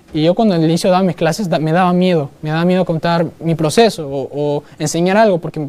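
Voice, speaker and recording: Talking at a fairly quick pace, a man has a high pitch and a dark, mellow tone. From Peru, Lima (born in Iquitos). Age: 20s. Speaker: digital marketer and business coach. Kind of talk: live conference talk. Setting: stage with live audience. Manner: animated; halting, many fillers.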